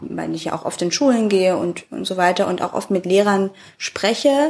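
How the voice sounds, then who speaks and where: Her intonation lively, a woman speaks at a moderate pace with a medium pitch. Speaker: podcast host. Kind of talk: casual interview.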